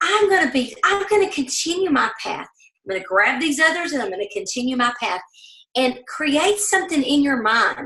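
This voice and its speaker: A woman with a Southern US accent speaks at a moderate pace in a high, bright, sharp voice whose pitch swings very widely. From US South. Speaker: network marketing leader. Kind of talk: motivational training talk. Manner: animated.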